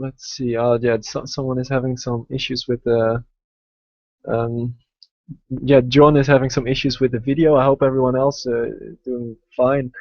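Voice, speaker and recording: With a Dutch accent, a man speaks at a moderate pace and medium pitch in a monotone, flat delivery. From Netherlands, Amsterdam. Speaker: investing educator, website founder. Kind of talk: live webinar presentation. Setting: online video webinar. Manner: hesitant, many fillers.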